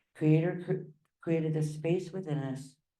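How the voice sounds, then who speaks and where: With audible room echo, a woman talks very slowly at a very deep, low pitch in a dark, mellow tone. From Hawaii. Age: 60s. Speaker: spiritual speaker. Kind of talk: inspirational talk. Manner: animated.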